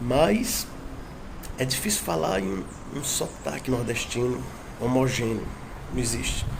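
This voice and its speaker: The speaker moves at a fairly slow pace with long, frequent pauses and lively intonation. Audible room echo and noticeable background noise are present. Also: man, medium pitch for a man. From far south of Ceará, Brazil. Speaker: language enthusiast speaking about regional dialects. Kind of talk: informal talk about dialects.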